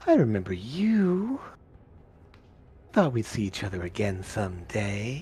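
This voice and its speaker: A put-on character voice with a low pitch moves at a fairly slow pace with long, frequent pauses. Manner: familiar, quietly knowing.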